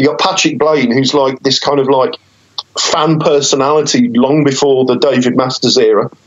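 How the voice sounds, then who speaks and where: A man's medium-pitched voice moves fairly quickly, with noticeable noise in the background. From West Midlands, England (Wolverhampton). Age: 30s. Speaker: journalist and battle rapper. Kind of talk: casual interview.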